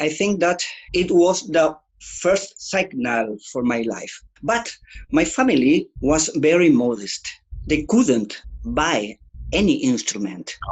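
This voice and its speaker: Speaking very slowly with long, frequent pauses, a man with a Spanish accent uses a fairly high pitch, very wide pitch swings and vocal fry. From Chile. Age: 60s. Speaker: guitarist. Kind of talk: interview. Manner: halting.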